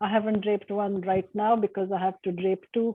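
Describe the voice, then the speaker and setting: In a slight Indian accent, a woman speaks at a moderate pace and medium pitch with monotone, flat intonation. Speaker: university lecturer. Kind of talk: panel discussion.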